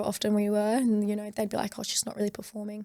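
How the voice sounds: Vocal fry, a slightly mellow tone and a fairly quick pace. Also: woman.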